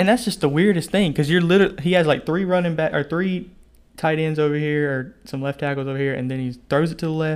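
This man talks at a fairly quick pace. His pitch sits fairly high. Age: 20s. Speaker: podcast co-host. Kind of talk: casual chat.

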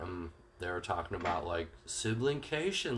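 A somewhat breathy man at a fairly slow pace, with very wide pitch swings. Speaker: podcast co-host. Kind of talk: casual chat. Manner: profane, casual.

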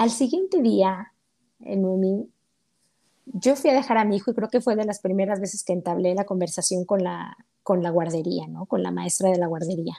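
The woman's voice has a dark, mellow tone at a medium pitch. Her pitch varies in an ordinary way. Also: moderate pace. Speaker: accountant and mother. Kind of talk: casual interview. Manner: animated.

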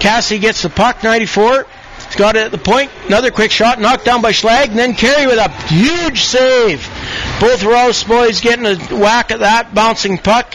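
An extremely high-pitched man with ordinary pitch variation amid noticeable background noise. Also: moderate pace. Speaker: hockey play-by-play commentator. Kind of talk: live play-by-play sports commentary. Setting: rink broadcast booth, internet radio.

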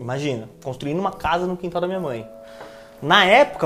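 A man with a São Paulo accent speaks in an animated tone at a fairly high pitch. His pitch variation is ordinary, and there is noticeable background noise. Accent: Paulistano Brazilian Portuguese. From São Paulo, East Zone. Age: 20s. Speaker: planning manager. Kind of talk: casual interview. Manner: slangy, animated.

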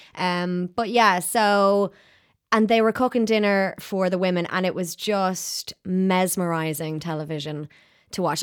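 With an Irish accent, a woman speaks at medium pitch with ordinary pitch variation. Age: 30s. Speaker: podcast presenter and producer. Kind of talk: casual chat. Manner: animated.

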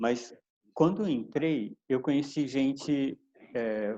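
A man's dark, mellow tone at a medium pitch, with ordinary pitch variation. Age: 50s. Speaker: climber and climbing coach. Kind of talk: casual chat.

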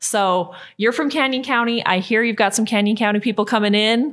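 A woman with an ordinary speaking voice and an American accent, medium pitch, ordinary pitch variation and a fairly quick pace, on a very clean recording with a silent background. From southeastern Idaho. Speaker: podcast host, health advocate. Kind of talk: interview.

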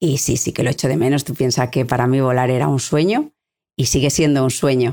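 A woman at a fairly quick pace, with a very deep, low pitch and a dark, mellow tone, on a very clean recording with a silent background. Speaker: helicopter pilot and aeronautical engineer. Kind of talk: interview. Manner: halting.

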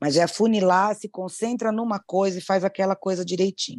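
With a normal speaking voice, a woman speaks at medium pitch and a moderate pace, the sound dry and close with no echo against a quiet background. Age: 50s. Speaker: thrift store owner. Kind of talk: casual chat.

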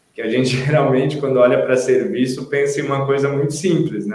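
Audible room echo surrounds this man's voice. His pitch is fairly high and his intonation fairly even. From Santa Catarina, Brazil (Itajaí). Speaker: sales account manager. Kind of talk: casual interview.

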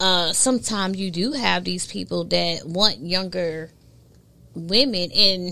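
This woman speaks in a New York accent. The recording is very clean, with a silent background. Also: medium pitch for a woman, ordinary pitch variation, fairly slow pace. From New York, Brooklyn. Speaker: content creation strategist. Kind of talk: casual chat.

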